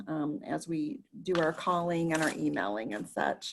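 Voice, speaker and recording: A loud woman's voice against a quiet background. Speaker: advocacy call facilitator. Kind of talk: meeting presentation. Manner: speaking loudly. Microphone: voice cutting in and out.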